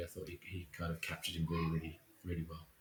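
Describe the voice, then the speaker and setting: A man with an Essex accent, very deep and low-pitched, somewhat breathy, at a very fast pace. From Essex, England. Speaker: visual effects supervisor. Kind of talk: interview.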